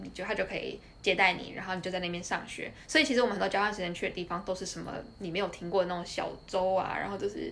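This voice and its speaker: A woman with a Taiwanese accent talks at a very fast pace in a medium pitch, her intonation fairly even over noticeable background noise. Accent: Taiwanese Mandarin. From Taiwan, Tainan. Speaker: former finance employee, student. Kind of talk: casual interview. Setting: at her home.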